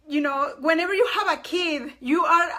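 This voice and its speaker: A raised, projected voice with a bright, sharp tone at a fairly slow pace, on a very clean recording with a silent background. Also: woman. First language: not English. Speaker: live streamer. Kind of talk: casual live stream chat. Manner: halting, with repetitions.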